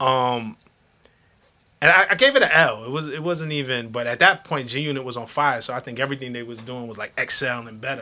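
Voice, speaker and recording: With a New York accent, a man talks at a fairly quick pace in a medium-pitched, bright, sharp voice, his pitch varying normally while his loudness swings widely. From Flatbush, Brooklyn, New York. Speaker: hip hop journalist. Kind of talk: casual chat.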